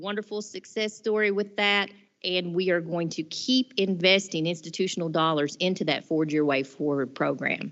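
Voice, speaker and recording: Using a normal speaking voice, a woman talks at a moderate pace in a fairly low pitch with ordinary pitch variation. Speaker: college president. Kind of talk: board meeting report.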